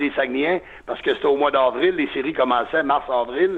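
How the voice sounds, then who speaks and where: Moving at a moderate pace, a man talks at a fairly high pitch that varies in an ordinary way. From Quebec, Lac-Saint-Jean (Alma). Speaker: sports radio broadcaster. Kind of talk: interview.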